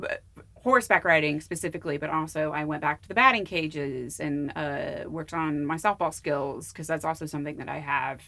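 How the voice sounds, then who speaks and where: In an American accent, a woman with a very deep, low pitch and a bright, sharp tone speaks at a fairly quick pace with ordinary pitch variation on a very clean recording with a silent background. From Arizona. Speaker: actor. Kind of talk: casual chat.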